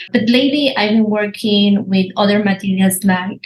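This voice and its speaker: A woman with a Spanish accent speaks at a medium pitch, somewhat breathy, with fairly even intonation. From Argentina, Buenos Aires. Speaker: visual artist. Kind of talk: interview. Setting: podcast.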